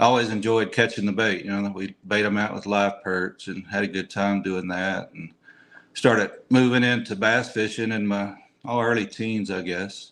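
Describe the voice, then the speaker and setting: The speaker, in a Texan accent, keeps a moderate pace with monotone, flat intonation. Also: man. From Texas, Austin area. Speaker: tournament angler. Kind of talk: interview.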